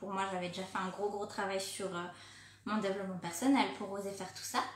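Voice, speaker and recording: Through noticeable background noise and audible room echo comes a woman's medium-pitched voice. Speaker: life coach for women entrepreneurs. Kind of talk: live stream talk to followers. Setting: live video on social media. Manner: fast; casual, hesitant with fillers.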